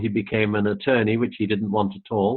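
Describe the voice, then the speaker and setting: Fairly even intonation marks the delivery of a man speaking in an English accent. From England. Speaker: retired airline pilot and spiritual channeler. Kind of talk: casual interview chat.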